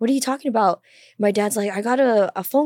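With a plain, everyday voice, a woman talks at a fairly high pitch with ordinary pitch variation, in a dry, close sound with no echo. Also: very clean recording, silent background. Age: 20s. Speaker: podcast co-host, crisis center worker. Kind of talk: casual chat. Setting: studio.

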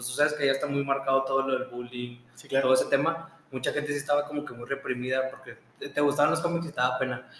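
Over noticeable background noise, a man with a fairly high pitch talks at a very fast pace with hardly any pauses, his intonation monotone and flat and his loudness swinging widely. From Mexico, Monterrey. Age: 20s. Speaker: podcast co-host, accountant. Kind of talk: casual chat.

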